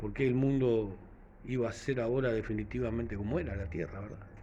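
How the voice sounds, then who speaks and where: With lively intonation and vocal fry, a man speaks at a fairly quick pace and fairly low pitch in a room with audible echo. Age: 60s. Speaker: vlogger. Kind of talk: casual reflective monologue. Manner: halting, many fillers.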